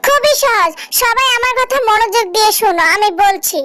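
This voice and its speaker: An extremely high-pitched cartoonish character voice moves at a moderate pace. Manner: authoritative.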